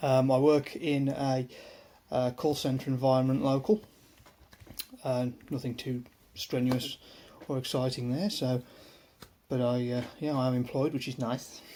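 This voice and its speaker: A man's dark, mellow voice at a fairly slow pace, with fairly even intonation and long, frequent pauses. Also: medium pitch for a man. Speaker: YouTuber, mental health vlogger. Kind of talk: casual monologue vlog. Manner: hesitant, many fillers.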